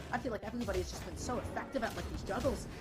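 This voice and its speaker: Music plays in the background. Over it, a woman talks very fast in an animated tone. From Russia. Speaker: esports caster. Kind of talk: live commentary.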